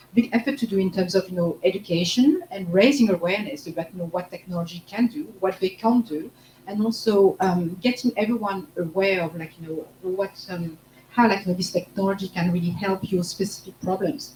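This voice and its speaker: Against noticeable background noise, a woman with a medium pitch talks at a fairly quick pace, her pitch varying ordinarily while her loudness swings widely. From France. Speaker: marketing manager. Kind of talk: panel discussion.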